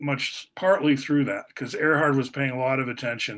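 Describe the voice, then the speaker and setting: A man with an American accent speaks at a fairly high pitch. His tone is bright and sharp against a quiet background. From Portland, Oregon, with years in Italy and the Philippines. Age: 60s. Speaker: former math teacher and philosopher. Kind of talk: casual conversation.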